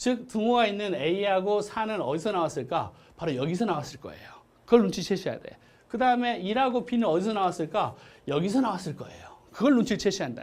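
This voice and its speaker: A man talks at a very fast pace with a high pitch. His intonation is lively, with big swings in loudness. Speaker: math teacher. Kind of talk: lecture.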